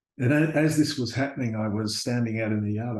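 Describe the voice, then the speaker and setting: Somewhat breathy, a man speaks at a medium pitch. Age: 60s. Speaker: university lecturer sharing near-death experience. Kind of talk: testimony. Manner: halting, with fillers and repeated words.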